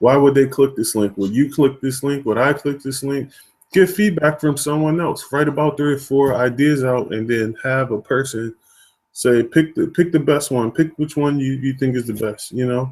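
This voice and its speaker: Using a normal speaking voice, a man speaks at a moderate pace, his fairly high pitch showing ordinary pitch variation. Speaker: online marketing trainer. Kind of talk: webinar tutorial.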